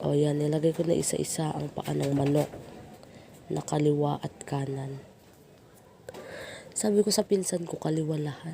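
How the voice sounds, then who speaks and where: With long, frequent pauses, a woman talks at a moderate pace in a very deep, low pitch and fairly even intonation. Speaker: cooking vlogger. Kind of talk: voice-over narration. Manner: playful, self-teasing.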